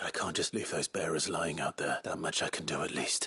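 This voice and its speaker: A man speaks at a fairly quick pace in a raspy, put-on character voice, his loudness very even and the sound dry and close with no echo. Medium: video game. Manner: steely, controlled.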